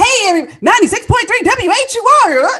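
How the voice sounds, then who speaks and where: An extremely high-pitched, put-on character voice. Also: moderate pace. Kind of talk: slick, polished broadcast delivery.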